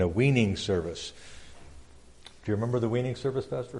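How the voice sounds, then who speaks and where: Ordinary pitch variation from a male speaker. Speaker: pastor. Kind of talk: church report reading. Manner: fast.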